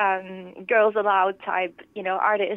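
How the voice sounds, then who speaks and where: A woman speaks with a slight Finnish accent. Her intonation is monotone and flat. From Finland, Lohja. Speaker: pop singer-songwriter. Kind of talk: interview. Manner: hesitant, many fillers.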